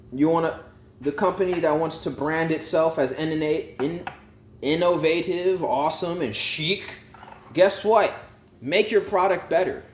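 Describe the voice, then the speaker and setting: A loud, animated man with a high voice at a fairly slow pace, with ordinary pitch variation and noticeable background noise. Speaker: YouTube storyteller and vlogger. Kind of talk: casual rant to camera. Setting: at home.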